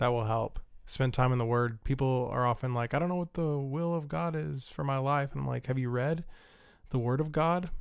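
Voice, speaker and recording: In a normal speaking voice, a man talks at a fairly quick pace at a medium pitch with ordinary pitch variation. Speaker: guest, host's husband. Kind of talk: casual interview chat.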